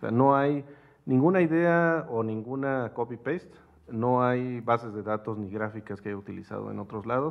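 A man speaks with a Mexican accent at a medium pitch. His pace is moderate and his pitch variation ordinary. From Mexico. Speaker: researcher presenting paper; speaker. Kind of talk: academic seminar. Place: hall. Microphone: podium.

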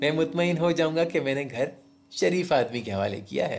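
A man speaks with lively intonation over background music. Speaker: radio jockey, story narrator. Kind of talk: horror story narration in Urdu.

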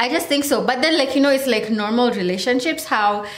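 A woman's high pitch with ordinary variation, audible room echo around it. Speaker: vlogger reviewing a TV show. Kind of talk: casual vlog chat. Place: home room. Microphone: phone near.

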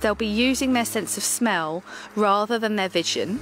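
A woman is speaking with music in the background. The sound is dry, with no echo. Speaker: dog trainer. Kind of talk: tutorial. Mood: calm, patient.

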